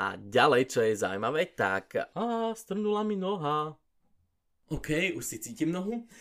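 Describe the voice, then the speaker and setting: With very wide pitch swings, a man speaks at a fairly slow pace in a high pitch. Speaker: podcast host. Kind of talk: casual monologue. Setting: home pantry.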